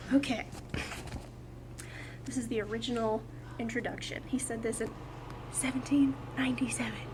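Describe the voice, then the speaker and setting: A woman speaks in an excited tone at a moderate pace, with noticeable background noise. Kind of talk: casual talk to camera. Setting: outdoors.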